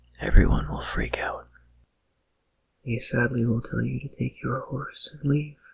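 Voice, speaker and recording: This speaker takes a fairly slow pace. He is a man. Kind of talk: ASMR whisper narration of game facts. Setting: binaural microphone recording. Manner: whispered, soft-spoken, relaxing.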